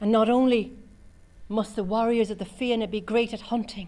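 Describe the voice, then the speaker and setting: At a moderate pace, the speaker talks in an Irish accent, somewhat breathy, with a dark, mellow tone and a monotone, flat intonation. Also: woman. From Cork, Ireland. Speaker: storyteller. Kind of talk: oral storytelling performance.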